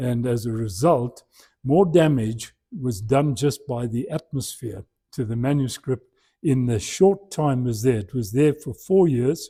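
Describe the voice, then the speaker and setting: At a fairly slow pace, a man speaks with a dark, mellow, somewhat breathy tone and medium pitch, his pitch varying in an ordinary way, in a very clean recording with a silent background. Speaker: church lecturer. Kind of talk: lecture. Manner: halting.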